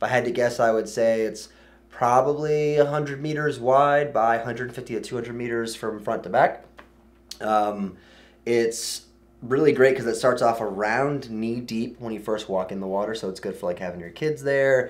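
Ordinary pitch variation marks this man's speech. He talks at a moderate pace. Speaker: dive channel host. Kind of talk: casual conversational commentary. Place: studio.

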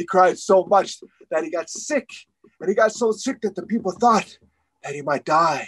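This is plain reading aloud with lively intonation. The background stays quiet.

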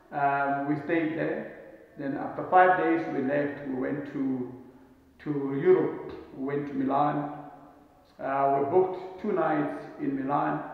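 A man speaks very slowly with long, frequent pauses in strong room echo. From South Africa. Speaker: travel vlogger. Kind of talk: casual monologue to camera. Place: home room. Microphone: camera far.

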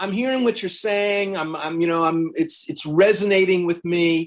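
The background stays quiet. Against it, a man talks at a moderate pace. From South Carolina. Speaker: law professor and interviewer; law professor, interviewer. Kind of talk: interview. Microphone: video call.

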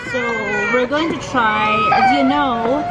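A woman talks at a fairly slow pace. Crowd noise sounds in the background. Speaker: food vlogger. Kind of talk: casual vlog chat, food review. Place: cafe. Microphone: phone near.

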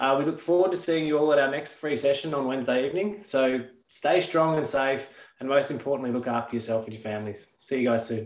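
A man talks at a very fast pace with ordinary pitch variation. The room echo is audible. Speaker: company manager; session host. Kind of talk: event introduction. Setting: online live session. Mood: warm, grateful. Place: home room. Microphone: video call.

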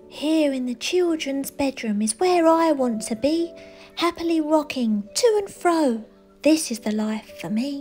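A woman uses a put-on character voice at a fairly slow pace. Clear music is in the background. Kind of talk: bedtime story. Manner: goofy, contented.

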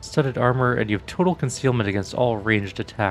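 The speaker reads in an unforced voice with ordinary variation in pitch.

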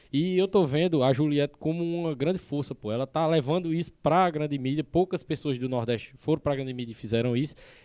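Here a man speaks at a fairly high pitch in a dark, mellow tone. He moves at a fairly quick pace with hardly any pauses, over a quiet background. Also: ordinary pitch variation. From Northeast Brazil. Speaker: podcast guest, artist. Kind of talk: podcast host interview. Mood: earnest, calm. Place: studio. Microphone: studio mic.

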